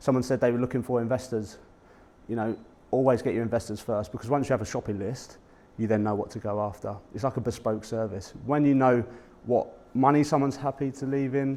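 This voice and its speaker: With a dark, mellow tone, a man speaks very fast at a medium pitch and with fairly even intonation. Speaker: property investor and podcast host. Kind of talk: presentation talk to a networking audience. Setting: live talk to an audience at a meetup. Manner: conversational, informal.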